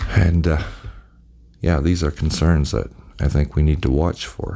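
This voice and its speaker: A soft-spoken man with a very deep, low voice and ordinary pitch variation. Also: fairly slow pace. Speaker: channel host giving commentary. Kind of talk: casual monologue to camera. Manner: soft-spoken, talking very low; halting, many fillers.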